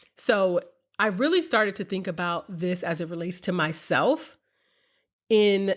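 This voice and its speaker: The recording is very clean, and the background is silent. A plain, everyday voice talks at a moderate pace. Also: woman. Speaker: podcast host. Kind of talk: solo podcast monologue. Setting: recording studio with mic.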